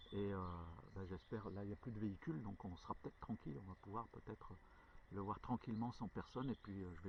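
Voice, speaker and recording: Somewhat breathy, a man speaks fairly quickly in a fairly low pitch. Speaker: hiking vlogger. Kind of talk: storytelling; casual vlog narration. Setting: outdoors. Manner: halting, stutters; many filler hesitations.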